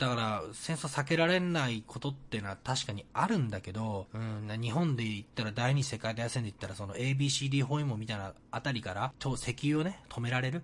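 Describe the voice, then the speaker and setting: A man talks at a moderate pace with a somewhat breathy voice. His pitch sits in the medium range with ordinary variation. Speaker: podcast host. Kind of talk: casual solo podcast monologue.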